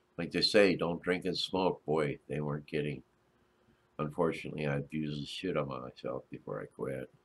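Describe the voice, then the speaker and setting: Very deep and low, a man's voice carries vocal fry as he talks at a fairly quick pace with ordinary pitch variation. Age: 70s. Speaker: Navy and Vietnam war veteran streamer. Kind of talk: casual live stream chat with viewers. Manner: hesitant, many filler uhs.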